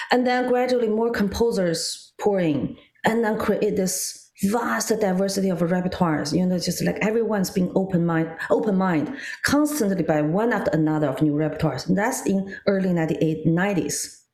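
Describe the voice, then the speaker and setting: A woman at medium pitch speaks at a moderate pace with lively intonation and very even loudness. There is noticeable background noise and audible room echo. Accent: Chinese. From China. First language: Mandarin Chinese. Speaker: guzheng player and music scholar. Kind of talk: casual interview chat.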